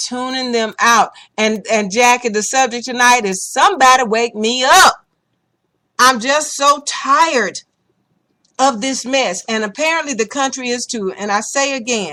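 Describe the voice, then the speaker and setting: With a bright, sharp, animated tone, a woman talks at a fairly slow pace in a high pitch with ordinary pitch variation. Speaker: talk radio host. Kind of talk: political talk show chat. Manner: loud, yelling.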